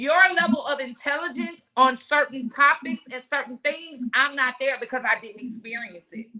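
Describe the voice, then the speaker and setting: A woman speaks at a moderate pace in a high, bright, sharp voice, raised and projected, with an animated tone, ordinary pitch variation, big swings in loudness and hardly any pauses. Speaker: podcast host. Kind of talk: casual discussion.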